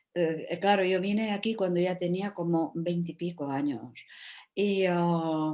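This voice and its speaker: In a Czech accent, a woman speaks very slowly with a dark, mellow tone against a quiet background. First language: Czech (speaking Spanish). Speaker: writer and translator. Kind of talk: panel discussion. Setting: video call. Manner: halting, many fillers.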